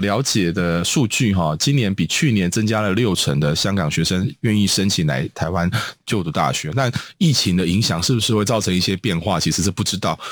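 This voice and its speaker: With a Taiwanese accent, a man talks at a fairly quick pace. His pitch is fairly low and his intonation lively. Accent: Taiwanese Mandarin. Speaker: radio host. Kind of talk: radio interview. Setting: studio. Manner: halting, many filler sounds.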